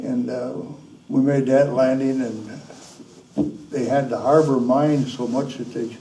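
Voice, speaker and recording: A man with an Upper Midwest accent, monotone and flat, at a fairly slow pace with long, frequent pauses, plus audible room echo and noticeable background noise. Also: medium pitch for a man. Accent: Upper Midwest American. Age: 90s. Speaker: war veteran. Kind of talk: interview. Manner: halting.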